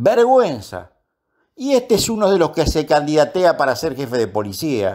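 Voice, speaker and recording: Showing vocal fry and very wide pitch swings, a man speaks at a moderate pace in a fairly high pitch. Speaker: police union spokesman and commentator. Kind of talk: opinion commentary.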